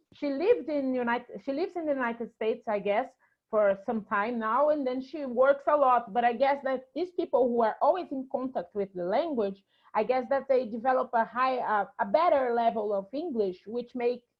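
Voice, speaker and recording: Speaking with a Brazilian accent, a woman talks at a moderate pace. Her voice is high, with ordinary pitch variation. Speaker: actress and filmmaker. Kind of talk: interview.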